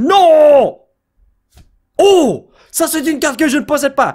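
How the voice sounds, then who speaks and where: A man with a Quebec accent. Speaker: YouTuber opening trading card packs. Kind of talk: casual card-opening commentary. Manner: animated.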